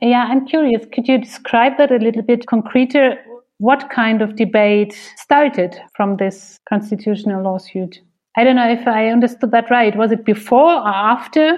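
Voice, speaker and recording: With a German accent, a woman speaks at a fairly high pitch and ordinary pitch variation. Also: moderate pace. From Germany. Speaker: podcast co-host, director. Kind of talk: interview.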